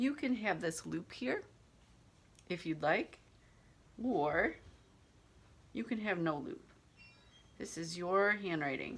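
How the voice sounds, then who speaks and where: Very slowly and with long, frequent pauses, a woman speaks at fairly low pitch with very wide pitch swings. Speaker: handwriting teacher. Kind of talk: tutorial. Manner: hesitant.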